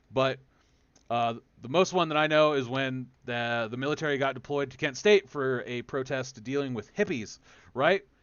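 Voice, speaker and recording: At a moderate pace, a man speaks in a medium pitch with an animated tone. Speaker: podcast host. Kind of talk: podcast discussion. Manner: animated, profane.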